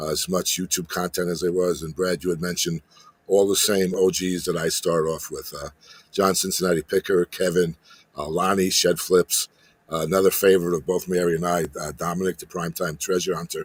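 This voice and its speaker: The sound is dry and close, with no echo. Intonation is monotone and flat, at a fairly quick pace. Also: man, very deep, low pitch for a man. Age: 60s. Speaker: retired electrician turned eBay reseller and YouTuber. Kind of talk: casual chat. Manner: halting.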